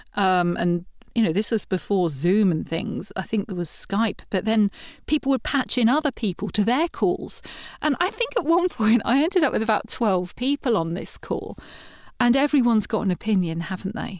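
A woman talks at a moderate pace. Her fairly high voice swings very widely in pitch. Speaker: voiceover artist. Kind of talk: interview answer.

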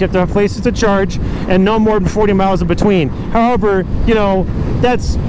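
A man's fairly quick, monotone, flat delivery, dry with no echo, over noticeable background noise. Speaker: motovlogger. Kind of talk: casual vlog chat. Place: motorbike. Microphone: helmet.

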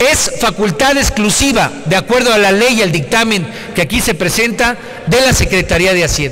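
The speech moves at a moderate pace over light background noise. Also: man. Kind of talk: parliamentary speech. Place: hall. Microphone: podium.

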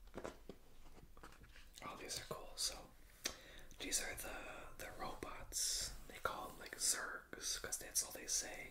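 Whispering at a very slow pace, a man leaves long, frequent pauses, with big swings in loudness. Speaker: ASMR creator. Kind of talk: ASMR book flip-through. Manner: whispered.

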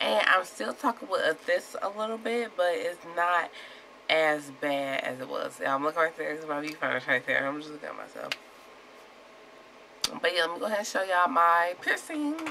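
A woman's pitch swings very widely as she talks at a moderate pace, with noticeable noise behind her. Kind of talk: casual vlog talk to camera. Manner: slightly slurred speech.

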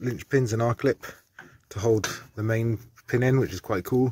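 Somewhat breathy male voice with a dry sound, no echo, and noticeable background noise. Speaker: DIY car repair vlogger. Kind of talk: tutorial. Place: street. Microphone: phone near.

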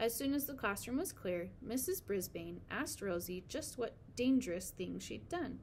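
A natural reading voice carries lively, varied intonation.

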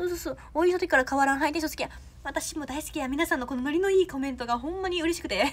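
A woman talks very fast with a Kansai accent. Her high-pitched voice carries an animated tone. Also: ordinary pitch variation. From Osaka. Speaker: idol trainee; idol trainee livestreamer. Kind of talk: livestream chat with viewers. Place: home room. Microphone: phone near.

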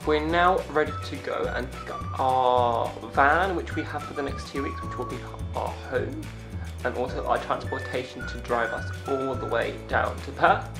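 Clear music plays in the background. Over it, a man speaks at a moderate pace. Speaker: travel vlogger. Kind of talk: casual vlog chat. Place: home room. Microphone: phone near.

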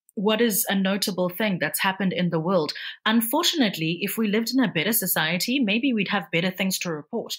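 Speaking at a very fast pace, a woman sounds somewhat breathy and uses ordinary pitch variation. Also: medium pitch for a woman. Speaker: newsreader and voice-over artist. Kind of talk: interview answer.

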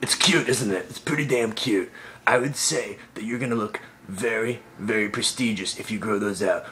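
Ordinary pitch variation from a man speaking at a moderate pace. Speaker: comic character answering mail. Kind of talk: comedic vlog monologue. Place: home room. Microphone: phone near.

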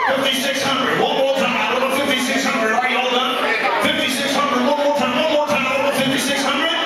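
Very fast speech with audible room echo and loud background noise. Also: man. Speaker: charity auctioneer. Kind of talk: fast rhythmic auction bid calling. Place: hall. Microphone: pa.

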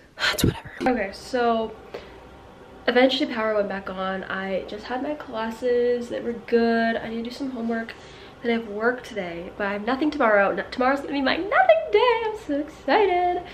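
At a fairly quick pace, a woman speaks in a high pitch over light background noise. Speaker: student vlogger. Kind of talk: casual vlog chat.

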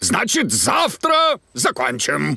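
A man performs a cartoonish character voice with high pitch, very wide pitch swings and a bright, sharp tone. He goes at a slow pace, with vocal fry and a slightly husky edge.

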